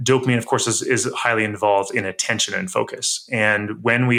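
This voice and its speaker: At a moderate pace, the voice has a bright, sharp tone. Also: man. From grew up in a cabin. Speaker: author and health expert. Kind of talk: interview conversation.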